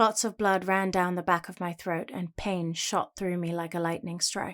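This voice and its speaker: A woman with a British accent at a moderate pace and medium pitch, on a very clean recording with a silent background. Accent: general British. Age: young. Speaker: voice actor. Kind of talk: audiobook narration, first person fantasy.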